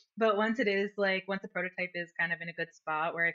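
Here is an unremarkable speaking voice with an American accent. The pace is fairly quick, and the pitch variation is ordinary. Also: woman. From New Jersey, US; Colombian family. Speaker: product designer. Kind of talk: casual chat.

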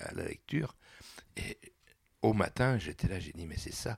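This is a man speaking with a fairly low pitch. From Réunion. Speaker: political activist. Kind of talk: interview. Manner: halting.

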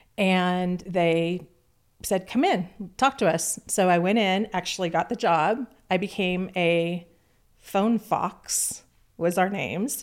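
On a very clean recording with a silent background, a woman with a Californian accent speaks very slowly at a medium pitch, her loudness very even and her pitch variation ordinary. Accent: General American (California). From Southern California (Orange County). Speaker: music industry executive. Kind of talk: interview.

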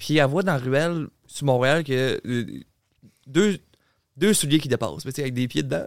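Here is a man with a Quebec accent. His voice sits at a medium pitch. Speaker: content creator and podcaster. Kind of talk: casual chat.

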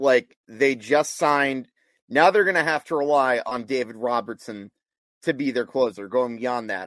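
Against a quiet background, a man with an unremarkable speaking voice and fairly even intonation comes through in a dry, close sound with no echo. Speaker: sports talk co-host. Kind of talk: casual sports talk.

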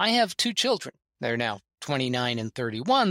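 In a very clean recording with a silent background, a man's bright, sharp tone comes through dry and close with no echo. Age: 60s. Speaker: bridge player and junior coach. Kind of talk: casual interview chat.

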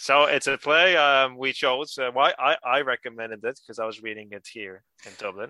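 This man's tone is bright and sharp, with fairly even intonation. The sound is dry and close, with no echo. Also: medium pitch for a man, moderate pace.

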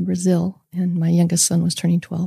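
Somewhat breathy and dark, mellow in tone, a woman speaks at a moderate pace with monotone, flat intonation. The sound is dry and close, with no echo. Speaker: guest sharing life story. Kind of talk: personal testimony. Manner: mild.

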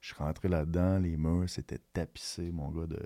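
On a very clean recording with a silent background, a man speaks at a very deep, low pitch in a dark, mellow tone with ordinary pitch variation. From Quebec, Rouyn-Noranda. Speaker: rapper and record label founder. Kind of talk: interview.

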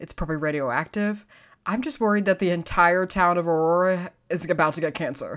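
In a very clean recording with a silent background, a woman with an American accent speaks at a fairly quick pace in a plain, everyday voice, her fairly low pitch showing ordinary variation. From Texas. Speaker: paranormal podcast co-host. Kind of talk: casual chat.

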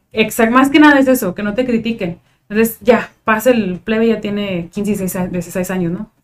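A woman with a northern Mexican accent, fairly high in pitch, at a moderate pace with ordinary pitch variation. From Tijuana, Mexico. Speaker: psychologist. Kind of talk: casual chat.

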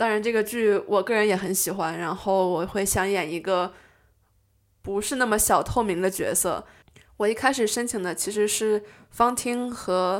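On a very clean recording with a silent background, a woman talks in an ordinary speaking voice at a moderate pace with fairly even intonation. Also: medium pitch for a woman. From China. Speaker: amateur stage actress, university student. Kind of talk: casual interview chat.

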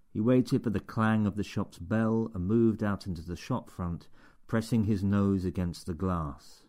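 This clip is plain reading aloud.

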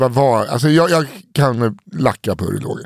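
A fairly high-pitched man with lively intonation. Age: 30s. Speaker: podcast host. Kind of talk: casual chat.

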